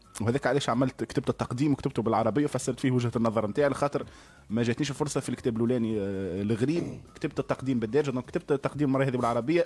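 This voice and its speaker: A man's medium-pitched voice at a very fast pace, with fairly even intonation. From Tunisia. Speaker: translator and journalist; guest. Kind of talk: radio interview. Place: studio. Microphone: studio mic.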